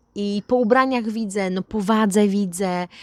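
Recorded very cleanly against a silent background, a woman with a plain, everyday voice speaks at medium pitch with ordinary pitch variation. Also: dry, close sound with no echo. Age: 30s. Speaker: vlogger. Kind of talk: casual vlog monologue.

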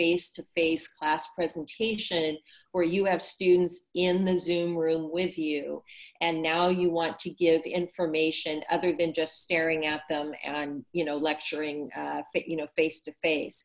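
A woman speaks at a fairly slow pace, her fairly low voice staying flat and monotone throughout. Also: quiet background. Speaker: presenter. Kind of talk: tutorial. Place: home room. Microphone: video call.

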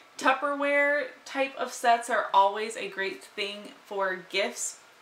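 A woman is speaking over light background noise. Some room echo can be heard. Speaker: lifestyle vlogger. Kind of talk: casual vlog chat. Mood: cheerful, playful. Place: home room.

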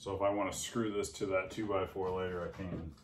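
Speaking at a fairly quick pace, a man keeps a low pitch and fairly even intonation.

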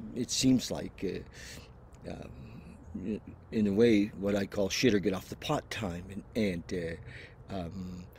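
Very slowly and with long, frequent pauses, a man speaks at a fairly low pitch with ordinary variation and vocal fry, the sound dry with no echo and light background noise behind it. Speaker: vlogger. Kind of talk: casual vlog chat, personal reflection. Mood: hesitant, searching, low motivation. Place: garden. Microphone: headset.

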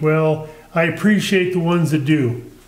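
At a very slow pace, a man speaks in a high pitch amid audible room echo. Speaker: woodturning channel host. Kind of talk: casual vlog chat. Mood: friendly, a bit chuckling. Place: workshop.

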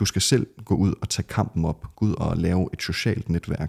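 Over a quiet background, a man with a very deep, low pitch speaks with ordinary pitch variation. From Denmark, Skive; Denmark. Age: young. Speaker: ex-Jehovah's Witness, never baptized; Witness. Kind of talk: podcast interview. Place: home room. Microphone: studio mic.

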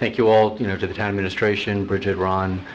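Monotone, flat intonation over light background noise. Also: man. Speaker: council member. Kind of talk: public meeting discussion. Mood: warm, appreciative. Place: hall. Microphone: podium.

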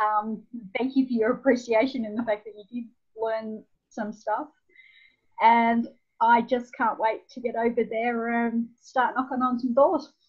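A woman with an Australian accent speaks at a fairly slow pace and a fairly high pitch, her intonation monotone and flat. Her loudness swings widely against a quiet background. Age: 50s. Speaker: nonprofit founder; podcast guest. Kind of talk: interview. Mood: warm, smiling. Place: home room.

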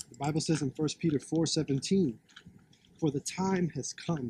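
A man with a fairly high pitch speaks at a moderate pace, somewhat breathy and with ordinary pitch variation, in a dry recording with no echo and light background noise. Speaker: street preacher. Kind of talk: street sermon, preaching. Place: open country. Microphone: phone near.

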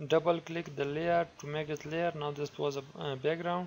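Speaking with a non-native accent, a man with a fairly high voice keeps a moderate pace and a monotone, flat intonation. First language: not English. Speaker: software tutorial creator. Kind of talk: tutorial. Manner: halting, many fillers.

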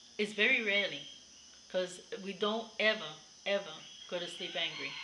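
A woman speaks over noticeable background noise. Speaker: vlogger. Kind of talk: casual vlog chat. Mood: warm, occasionally laughing. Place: home room. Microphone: webcam.

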